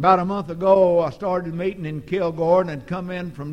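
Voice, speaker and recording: In a Texan accent, a man with a high pitch speaks at a moderate pace in a monotone, flat intonation. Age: 60s. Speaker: preacher. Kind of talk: sermon. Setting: church.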